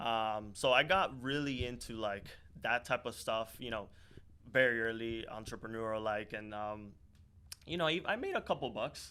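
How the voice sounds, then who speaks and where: With an American accent and a bright, sharp tone, the speaker keeps a moderate pace broken by long, frequent pauses, with ordinary pitch variation. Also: man, medium pitch for a man. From Miami, US, Dominican-born. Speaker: startup founder. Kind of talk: podcast interview. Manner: casual, many fillers.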